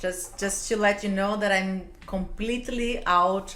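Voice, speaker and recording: At a medium pitch, a woman speaks at a fairly slow pace with fairly even intonation. Her voice carries an audible room echo, and there is noticeable background noise. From Brazil. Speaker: business executive. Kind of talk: interview.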